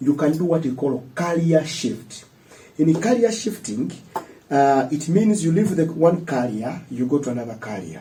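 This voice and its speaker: With audible room echo, a man with a fairly high pitch talks at a moderate pace, his dark, mellow tone carried by lively intonation. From Uganda, Mpigi district village. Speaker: student leader. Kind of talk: interview.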